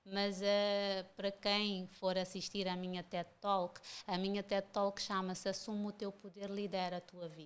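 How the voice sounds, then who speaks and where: A woman's medium-pitched voice, monotone and flat, at a fairly slow pace with hardly any pauses. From Cape Verde, Santo Antão island. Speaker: mentor and women's empowerment speaker. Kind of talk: podcast interview.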